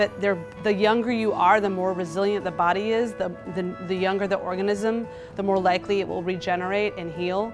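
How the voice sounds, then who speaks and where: Music plays behind a woman speaking at medium pitch. She talks at a fairly quick pace with fairly even intonation. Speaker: cooking teacher and nutritionist. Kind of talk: interview answer.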